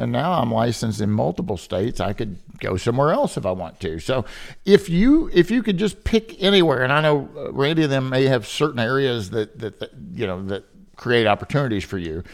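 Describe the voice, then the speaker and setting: Speaking at a fairly quick pace, a man with a medium-pitched voice and vocal fry swings his pitch very widely. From Kentucky. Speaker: podcast host, appraiser. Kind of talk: interview podcast.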